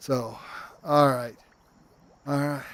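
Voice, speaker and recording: Speaking at a fairly slow pace, a man uses a fairly high pitch and fairly even intonation. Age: 60s. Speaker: VR game streamer. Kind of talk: live gameplay stream commentary. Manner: casual, halting with fillers.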